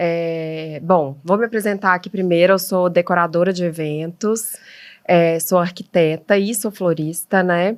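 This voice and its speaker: With a mineiro accent, a woman speaks fairly slowly at a fairly low pitch and fairly even intonation in a very clean recording with a silent background. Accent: mineiro accent, noted as delicious. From Minas Gerais, Brazil (Belo Horizonte). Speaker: event decorator and florist. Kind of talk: podcast interview. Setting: at a table at home.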